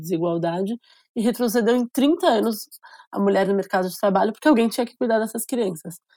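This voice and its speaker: A woman talks at a very fast pace in a dark, mellow tone. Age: 30s. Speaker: state legislator. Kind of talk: interview.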